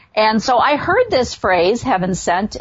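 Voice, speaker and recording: Speaking at a moderate pace with an American accent, a woman has an unremarkable speaking voice, a fairly high pitch and ordinary pitch variation. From US Midwest, south of Chicago. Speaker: radio host. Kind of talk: casual interview; monologue intro.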